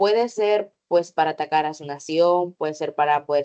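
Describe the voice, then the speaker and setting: A woman speaks in a very deep, low voice with a dark, mellow tone. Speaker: teacher. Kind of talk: online workshop lecture.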